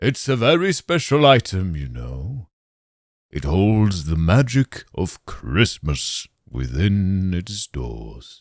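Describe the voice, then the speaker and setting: A booming, put-on character voice from a man, very deep and low in pitch with very wide pitch swings, big swings in loudness and a very slow pace, on a very clean recording with a silent background. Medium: audio drama. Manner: hearty, jovial.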